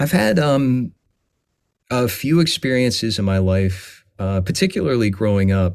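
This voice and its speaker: The intonation is lively and the pace fairly slow. Loudness stays very even on a very clean recording with a silent background. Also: man, fairly low pitch for a man. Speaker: voice actor. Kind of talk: podcast interview conversation. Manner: passionate; halting with fillers.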